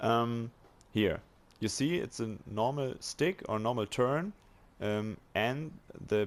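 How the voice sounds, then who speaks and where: A man speaks with a German accent and lively intonation. The recording is very clean, with a silent background. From Germany. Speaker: video game tutorial maker. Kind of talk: tutorial. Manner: halting, many fillers.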